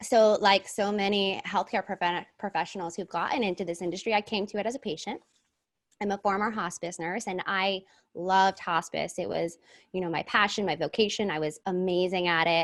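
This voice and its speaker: With a quiet background behind her, a woman speaks at medium pitch and a fairly quick pace, her intonation fairly even. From New Jersey. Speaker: cannabis nurse and entrepreneur. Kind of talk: podcast interview, personal story.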